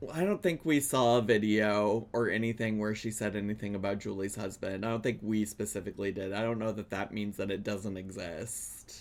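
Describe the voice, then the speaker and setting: In a normal speaking voice, a man talks at a fairly quick pace with hardly any pauses, his fairly low pitch held in fairly even intonation. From New York. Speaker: streamer reacting to videos. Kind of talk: live reaction stream.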